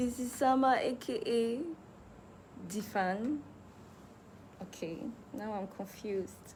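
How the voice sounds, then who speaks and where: Audible room echo surrounds a woman speaking in a high pitch with lively intonation. She goes at a fairly slow pace with long, frequent pauses. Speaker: musician. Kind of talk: livestream chat.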